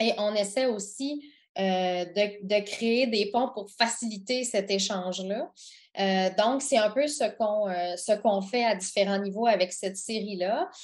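A woman speaks at a very slow pace in a medium pitch, with a quiet background. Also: ordinary pitch variation. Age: 40s. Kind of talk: interview. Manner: halting.

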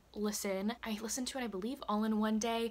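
The pace of this woman's speech is moderate. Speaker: book vlogger. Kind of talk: casual vlog chat. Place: home room. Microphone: phone near.

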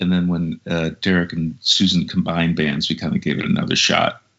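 Over a quiet background, a man speaks in an American accent at a fairly quick pace. His pitch is very deep and low. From Minneapolis, Minnesota; Minnesota. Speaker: musician and vocalist; guest. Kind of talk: interview. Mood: friendly, reflective. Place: home room. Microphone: low quality Skype recording; video call.

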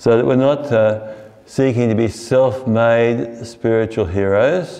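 The man talks very slowly, and his pitch varies in an ordinary way. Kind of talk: sermon. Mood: warm, earnest, smiling. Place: church. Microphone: podium.

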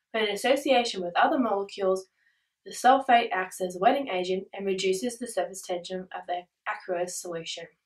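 Against a quiet background, a woman talks at a fairly quick pace with ordinary pitch variation and big swings in loudness. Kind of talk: school presentation. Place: home room.

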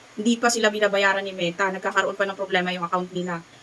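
At a very fast pace, a woman speaks in a medium pitch over noticeable background noise. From Visayas, Philippines. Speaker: vlogger. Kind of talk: casual vlog talk.

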